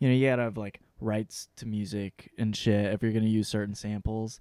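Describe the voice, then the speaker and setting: A man with an American accent and an ordinary speaking voice, fairly low in pitch, fairly quick in pace, the sound dry and close with no echo. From southwest Michigan. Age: 30s. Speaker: stand-up comedian. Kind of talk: casual chat. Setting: studio.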